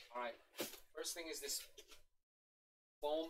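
A loud, shouting woman's voice with ordinary pitch variation. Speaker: gaming livestreamer. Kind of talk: livestream unboxing chat. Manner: animated.

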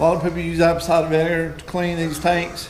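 Audible room echo surrounds the voice, with light background noise underneath. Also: man. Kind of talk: casual vlog chat. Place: garage. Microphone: camera far.

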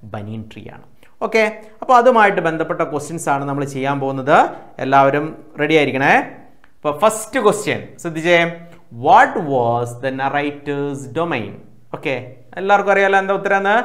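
Against a quiet background, a man talks in a plain, everyday voice, fairly high in pitch, with lively intonation. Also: big swings in loudness. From Kerala, India. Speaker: online tuition teacher. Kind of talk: lecture. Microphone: lapel.

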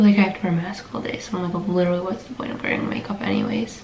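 A woman speaks over light background noise. The room echo is audible. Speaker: nursing student vlogger. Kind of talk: casual vlog chat. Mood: relaxed, chatty, a bit sleepy. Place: home room.

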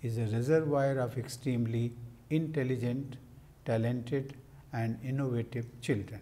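A man's voice comes across somewhat breathy, with a dark, mellow tone. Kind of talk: formal speech. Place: office. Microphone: lapel.

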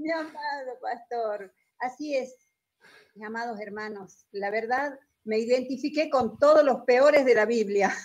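A woman with a high pitch talks at a fairly slow pace. Her loudness swings widely, and the background is quiet. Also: ordinary pitch variation. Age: 50s. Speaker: church member. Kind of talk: testimony. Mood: earnest, emotional. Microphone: video call.

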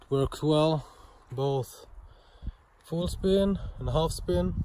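A man with a Swedish accent speaks at a very slow pace. The sound is dry with no echo, and there is light background noise. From Sweden. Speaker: knife and axe thrower, YouTuber; YouTuber. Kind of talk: casual video vlog. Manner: animated. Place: garden. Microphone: phone near.

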